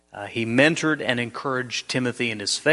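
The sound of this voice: An unforced reading voice moves through an ordinary range of pitch.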